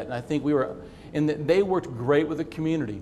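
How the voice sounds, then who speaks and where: A man with an American accent talks at a very fast pace, his pitch fairly high with ordinary variation. Noticeable background noise and audible room echo are present. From Kansas. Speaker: city manager. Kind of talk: conference talk. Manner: repetitive false starts.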